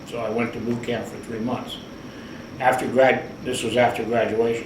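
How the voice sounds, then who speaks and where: A man with an American accent speaks at a moderate pace and medium pitch in a monotone, flat intonation, with big swings in loudness, audible room echo and noticeable background noise. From US Midwest, Cleveland, Ohio. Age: 70s. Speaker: navy veteran. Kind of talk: oral history interview.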